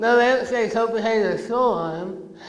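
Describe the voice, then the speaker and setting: A man's high-pitched voice with an American accent at a fairly quick pace, amid noticeable background noise and audible room echo. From rural Illinois. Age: 30s. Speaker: oral cancer survivor, anti-tobacco speaker. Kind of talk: motivational talk to students. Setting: auditorium with audience and PA.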